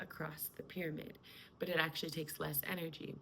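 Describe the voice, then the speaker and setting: Marked by vocal fry, the voice carries a calm tone and fairly even intonation. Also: woman. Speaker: spiritual coach. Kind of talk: spiritual talk to camera. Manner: slow.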